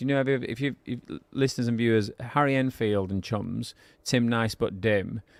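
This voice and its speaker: A man with a northern English accent at a moderate pace, fairly even intonation, on a very clean recording with a silent background. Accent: regional northern English. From northern England. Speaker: podcast co-host, business owner. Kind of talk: casual podcast chat.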